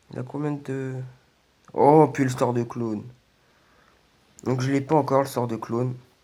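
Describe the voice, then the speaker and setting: A man speaks at a medium pitch in a dark, mellow tone. His delivery is fairly slow, with monotone, flat intonation. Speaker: gaming youtuber. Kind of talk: gameplay commentary. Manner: hesitant, many fillers.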